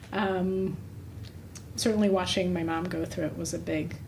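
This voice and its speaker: A woman's voice with audible room echo. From Russia. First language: Russian. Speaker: doctor, menopause specialist. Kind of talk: podcast interview.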